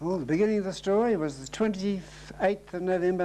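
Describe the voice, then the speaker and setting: The man's voice is high-pitched with a dark, mellow tone. He talks at a fairly quick pace with ordinary pitch variation. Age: 70s. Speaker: oral history interviewee. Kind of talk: interview.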